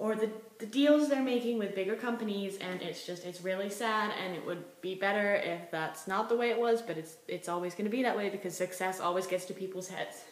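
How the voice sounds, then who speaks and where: Against noticeable background noise and audible room echo, a woman speaks at a fairly quick pace in a medium pitch with ordinary pitch variation and hardly any pauses. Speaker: vlogger. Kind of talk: casual monologue vlog. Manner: fast; animated.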